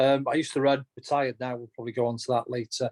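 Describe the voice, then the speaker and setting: With a Welsh accent, a man speaks in a dry, close sound with no echo. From North Wales, Llŷn Peninsula. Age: 40s. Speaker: race director and former ultrarunner. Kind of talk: podcast interview.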